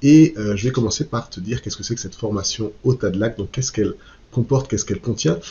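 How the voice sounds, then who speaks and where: This man's voice sounds somewhat breathy. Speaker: online course creator, eco-construction channel host. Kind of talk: sales pitch. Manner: hesitant, many fillers.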